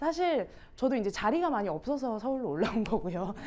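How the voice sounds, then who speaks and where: A woman talks in an animated tone with a slight Gyeongsang accent. Her pitch swings very widely. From Gyeongsang region, Ulsan. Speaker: musical theatre instructor. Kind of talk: teacher training workshop.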